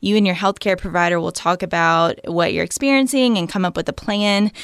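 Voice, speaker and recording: A woman speaks with a Southern US accent at a medium pitch. Her pitch varies in an ordinary way. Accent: Southern US (Georgia). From US South, Georgia. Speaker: family medicine physician. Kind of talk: interview.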